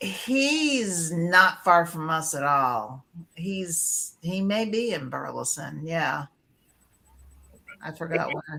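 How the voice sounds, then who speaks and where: Speaking in a New England accent, a woman talks at a very slow pace with long, frequent pauses, a fairly low pitch, very wide pitch swings and big swings in loudness. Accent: Yankee. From Connecticut. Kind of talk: casual chat.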